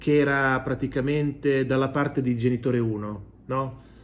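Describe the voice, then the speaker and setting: A man speaks at a fairly high pitch. His intonation stays fairly even. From Italy. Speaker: video commentator and economics professor. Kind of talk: news commentary monologue to camera. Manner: conversational, opinionated, mocking. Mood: ironic, mocking. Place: home room. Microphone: phone near.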